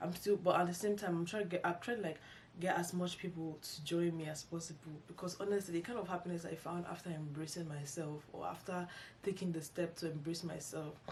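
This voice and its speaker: A woman talks at a fairly quick pace with a somewhat breathy voice. Her pitch is fairly low, and her intonation stays fairly even. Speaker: YouTuber, lifestyle vlogger. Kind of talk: casual vlog monologue. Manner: halting, many false starts and fillers.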